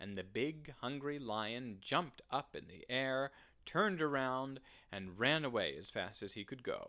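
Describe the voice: What you hear is plain reading aloud.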